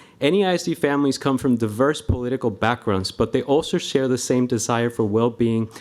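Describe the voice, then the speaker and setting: In a Spanish accent, a man talks at a fairly quick pace. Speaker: school staff member, public commenter. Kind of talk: public comment at board meeting.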